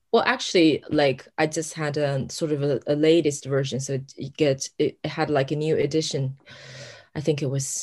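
The speaker has a Chinese accent and talks at a moderate pace. The background is quiet. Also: woman. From China, Sichuan near Chengdu. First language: Mandarin Chinese. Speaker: novelist. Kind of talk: interview conversation.

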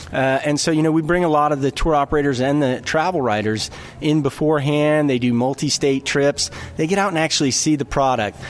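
Over noticeable background noise, a man with an American accent talks at a very fast pace, his fairly high pitch showing ordinary variation and his loudness very even. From North Carolina. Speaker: tourism official. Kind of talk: casual interview.

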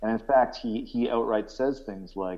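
A man with a Canadian accent and an ordinary speaking voice talks at a moderate pace with ordinary pitch variation. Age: 30s. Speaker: vegan activist, soldier. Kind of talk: casual interview.

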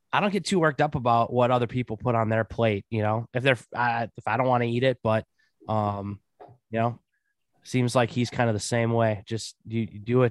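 A man talks in a normal speaking voice at a medium pitch and a fairly quick pace. His intonation is fairly even, and the sound is dry and close with no echo. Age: 30s. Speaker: podcast co-host. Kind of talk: casual chat.

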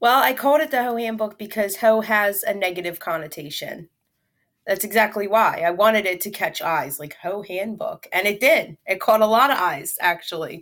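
With an American accent and a normal speaking voice, a woman at medium pitch uses lively intonation, recorded very cleanly against a silent background. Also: moderate pace. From Philadelphia, Pennsylvania. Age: 30s. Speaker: comedian and mental health advocate. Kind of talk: interview.

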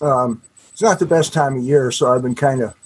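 A man speaks at a moderate pace. He has a normal speaking voice with a medium pitch. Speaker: author. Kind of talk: casual interview chat. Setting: video call.

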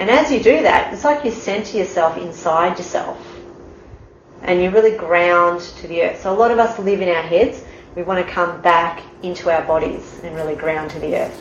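A woman with a fairly low pitch speaks at a moderate pace with ordinary pitch variation, her loudness swinging widely. Audible room echo and noticeable background noise surround her. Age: 40s. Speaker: yoga instructor. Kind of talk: casual explanation of yoga. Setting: home yoga studio.

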